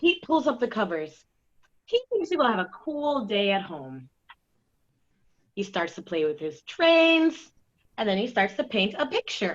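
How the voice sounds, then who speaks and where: Her fairly high pitch swings very widely as a woman speaks with long, frequent pauses. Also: fairly slow pace. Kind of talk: children's story reading.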